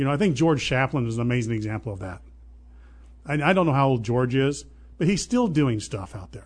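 With an American accent, a man at medium pitch talks at a fairly quick pace, somewhat breathy and with lively intonation. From southern Illinois. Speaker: real estate business owner. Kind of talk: interview.

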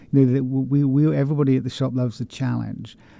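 Speaking at a moderate pace, a man uses a southern English accent. His voice sits at medium pitch with a dark, mellow tone. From England, West Country. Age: 50s. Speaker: author and bookshop owner. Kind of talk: interview. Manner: halting, many fillers.

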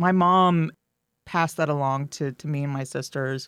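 A woman speaks in a normal speaking voice at a fairly slow pace, with ordinary pitch variation. The recording is very clean, with a silent background. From rural Missouri. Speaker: farmers market director. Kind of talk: interview.

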